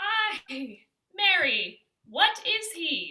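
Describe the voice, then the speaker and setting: A squeaky, put-on character voice from a woman, extremely high in pitch, with lively intonation. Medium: stage play. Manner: commanding, brisk.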